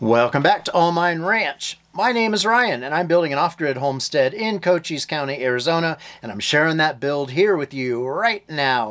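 His intonation rises and falls in a lively way. The man keeps to a moderate pace. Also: quiet background. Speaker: homestead vlogger. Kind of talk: casual vlog chat. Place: home room. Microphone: phone near.

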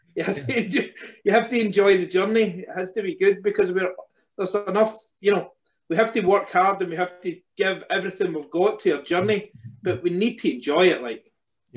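A man's high voice at a fairly quick pace with ordinary pitch variation. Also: quiet background. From Scotland. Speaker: business founder; guest. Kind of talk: panel discussion. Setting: video call. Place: home room. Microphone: video call.

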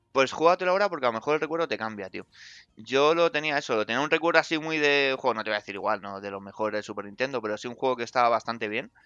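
At a very fast pace, a man with a medium pitch speaks with lively intonation. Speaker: video game journalist. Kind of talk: casual chat. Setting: online call on Discord.

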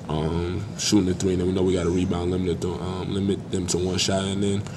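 Over clear background noise, the speaker talks at a fairly quick pace with vocal fry and a monotone, flat intonation. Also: man.

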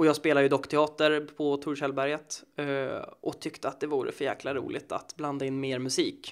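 A man's fairly high voice at a moderate pace, monotone and flat, with hardly any pauses. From Sweden, Södertälje. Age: 20s. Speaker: actor and musician. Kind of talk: casual interview.

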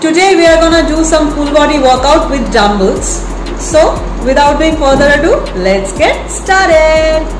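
With music in the background, a woman talks at a moderate pace in a high voice. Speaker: fitness vlogger. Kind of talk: casual vlog chat. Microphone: phone near.

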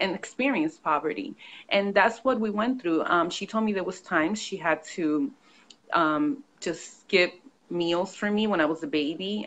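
This woman has a plain, everyday voice. Her intonation is lively and her pace moderate. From New York. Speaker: author and consultant. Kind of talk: interview. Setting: video call.

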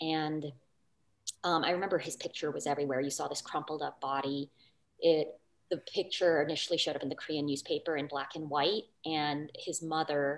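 In a very deep, low voice, a woman speaks at a fairly quick pace in a flat monotone. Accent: Californian. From Los Angeles. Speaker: English professor. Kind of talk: panel talk and presentation. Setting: video call. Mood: reflective, earnest. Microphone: video call.

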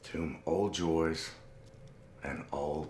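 Very deep and low, a man's voice moves at a very slow pace with audible room echo and light background noise. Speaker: actor in a drama scene. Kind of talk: theatrical declamation. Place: home room.

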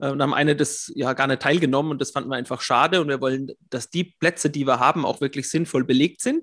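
A man speaks at a very fast pace with hardly any pauses, fairly high pitch and fairly even intonation. The sound is dry and close with no echo, against a quiet background. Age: 40s. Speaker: system administrator and YouTube coach. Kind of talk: interview.

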